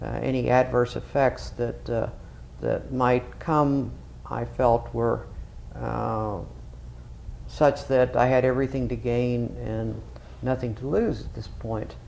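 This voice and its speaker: Over noticeable background noise, a man speaks very slowly with long, frequent pauses. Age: 60s. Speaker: retired radiologist, patient. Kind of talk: testimonial. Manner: halting, many fillers; formal, clinical wording.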